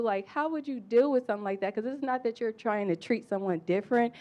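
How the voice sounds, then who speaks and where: This woman speaks with a dark, mellow tone. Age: young. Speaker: audience member. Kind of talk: panel discussion question.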